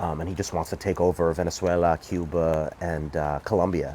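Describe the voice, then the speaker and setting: A man with a very deep, low voice speaks in a New York accent. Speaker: political commentator. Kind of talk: casual monologue. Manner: animated; halting.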